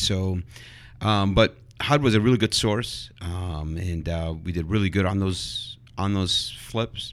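At a fairly slow pace, a man talks in a fairly low pitch with ordinary pitch variation and an unremarkable speaking voice. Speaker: real estate investor, house flipper. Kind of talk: casual roundtable discussion.

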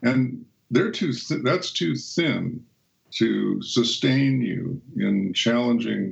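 A man's voice with vocal fry. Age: 70s. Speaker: author and speaker. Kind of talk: interview conversation.

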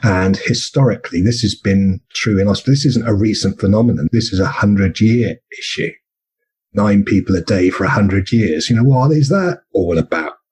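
Somewhat breathy, the speaker talks fairly quickly in a southern English accent. The loudness stays very even. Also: man, fairly low pitch for a man, ordinary pitch variation. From southern England (Bournemouth). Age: 50s. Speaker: burnout peer support co-host and speaker. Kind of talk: interview conversation.

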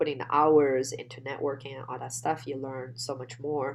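A woman speaks with a Chinese accent at a fairly slow pace. Her pitch is very deep and low, and her intonation is flat and monotone. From China. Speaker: real estate investor guest.

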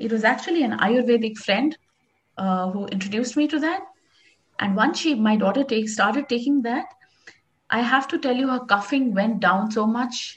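A woman speaks with an Indian accent at a high pitch. Her speech has long, frequent pauses. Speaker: houseplant expert. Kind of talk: casual interview chat.

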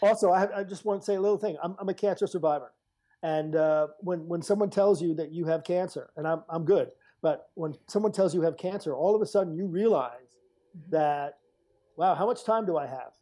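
A man with an American accent speaks at a fairly quick pace in a high pitch, with a dark, mellow tone and ordinary pitch variation. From New York, US. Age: 60s. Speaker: artist. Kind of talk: interview. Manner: halting.

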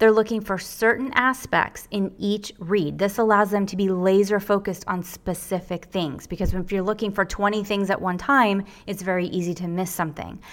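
An unremarkable speaking voice, with ordinary pitch variation and a moderate pace, on a very clean recording with a silent background. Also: woman. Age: 50s. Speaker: book editor. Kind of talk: presentation.

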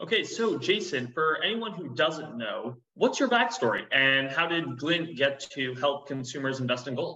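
In an ordinary speaking voice, a man talks at a moderate pace with hardly any pauses, using lively intonation and a fairly high pitch. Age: 20s. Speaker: podcast host. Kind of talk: interview.

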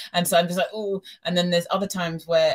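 A woman with a British accent speaks in a fairly low pitch, her voice somewhat breathy. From UK. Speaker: podcast guest. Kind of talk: casual conversation.

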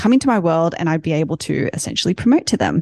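Fairly low in pitch, a woman speaks in an Australian accent. The sound is dry and close, with no echo. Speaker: tech company founder. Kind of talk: panel discussion.

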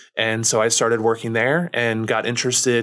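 The recording is very clean with a silent background as a man speaks with a Midwestern American accent. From Missouri, small town. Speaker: nonprofit founder. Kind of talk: interview.

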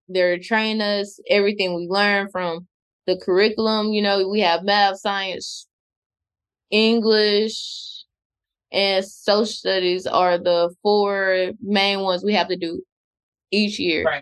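A woman speaks at a very slow pace. Her medium-pitched voice stays monotone and flat. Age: 20s. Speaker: podcast host. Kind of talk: casual chat.

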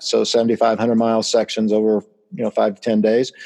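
Fairly slow speech, dry and close with no echo. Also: man. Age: 50s. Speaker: travel agency owner and sales author. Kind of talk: interview. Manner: animated.

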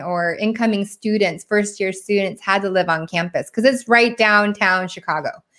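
An American accent comes through with ordinary pitch variation on a very clean recording with a silent background. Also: woman. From Washington State, US. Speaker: solar sales professional. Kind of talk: interview.

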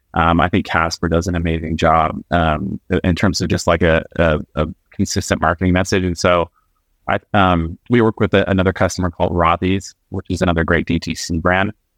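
A man speaks with an American accent in a very deep, low pitch and a monotone, flat intonation. His moderate pace comes through in a dry, close sound with no echo. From Alaska. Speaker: software company founder. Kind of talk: casual interview. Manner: halting, many fillers and repeats.

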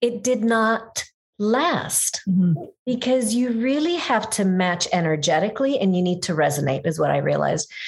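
This woman talks at a moderate pace with a fairly high pitch and very wide pitch swings. Her voice is somewhat breathy, and her loudness stays very even. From Middle East. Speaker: image consultant and speaker. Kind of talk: interview.

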